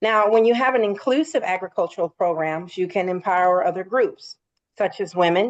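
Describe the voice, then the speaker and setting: In an ordinary speaking voice of medium pitch, a woman speaks at a moderate pace with ordinary pitch variation. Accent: American. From rural Virginia, US. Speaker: army veteran and farmer. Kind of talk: interview.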